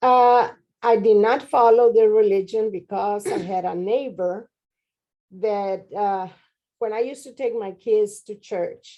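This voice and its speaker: Speaking fairly slowly with a Spanish accent, a woman keeps her intonation fairly even while her loudness swings widely. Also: fairly high pitch for a woman. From Mexico (Monterrey). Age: 70s. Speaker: interviewee, grandmother. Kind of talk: interview.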